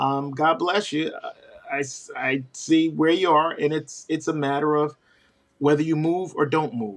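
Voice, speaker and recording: Here is a man with a fairly high pitch and a normal speaking voice. He talks at a moderate pace. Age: 60s. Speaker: professional Santa performer. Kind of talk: interview.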